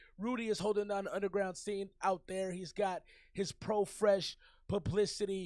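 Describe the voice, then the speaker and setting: The speech moves at a moderate pace. Its tone is animated. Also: man, high pitch for a man. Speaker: music review show host. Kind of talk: casual chat. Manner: halting, repetitive.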